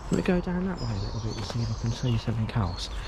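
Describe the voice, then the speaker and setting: Very fast speech with ordinary pitch variation over noticeable background noise. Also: man. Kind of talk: walkaround vlog narration. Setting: outdoors. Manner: hushed at times to avoid security.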